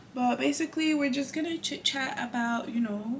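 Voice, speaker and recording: Against noticeable background noise, a woman speaks with lively intonation. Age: 20s. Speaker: beauty vlogger. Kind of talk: casual chat.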